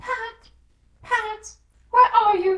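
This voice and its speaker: This is a put-on character voice. It sounds squeaky and extremely high-pitched. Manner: angry, calling out.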